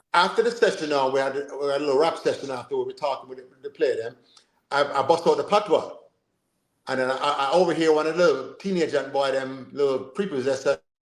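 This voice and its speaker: Speaking at a very fast pace, a man with an American accent uses a fairly high pitch, ordinary pitch variation and big swings in loudness. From Jamaica. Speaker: football coach and sports show host. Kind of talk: casual chat. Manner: animated.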